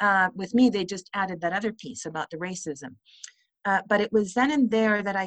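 An ordinary speaking voice from a woman at medium pitch, moderate pace and ordinary pitch variation, dry and close with no echo. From Vancouver, Canada (raised in Chilean exile community). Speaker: actor, playwright and author. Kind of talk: interview.

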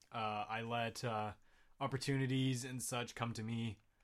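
An ordinary speaking voice comes from a man with a Canadian accent, medium in pitch and fairly even in intonation. He speaks at a fairly slow pace on a very clean recording with a silent background. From Winnipeg, Canada. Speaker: voice actor.

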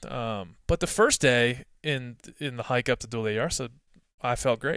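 A man with an American accent speaks at a fairly slow pace and a medium pitch in a plain, everyday voice. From US East Coast. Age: 30s. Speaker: hunting writer and editor. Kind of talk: casual interview. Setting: remote call.

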